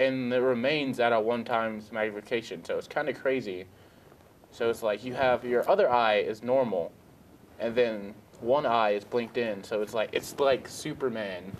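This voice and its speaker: There is light background noise as a man talks at a moderate pace. His intonation is fairly even. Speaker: student show co-host. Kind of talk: news segment presenting, casual. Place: studio.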